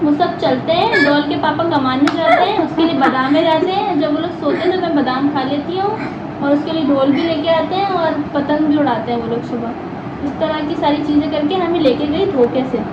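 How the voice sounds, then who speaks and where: With audible room echo and noticeable background noise, a woman talks at a moderate pace in a high voice with ordinary pitch variation. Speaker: vlog participant. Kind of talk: casual chat. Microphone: muffled, speaking from behind two curtains.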